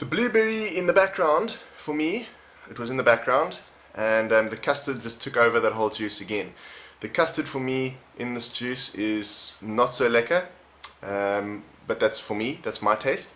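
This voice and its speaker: With lively intonation, a man talks at a medium pitch and a moderate pace. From South Africa. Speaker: vape reviewer. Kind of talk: product review. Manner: casual, conversational.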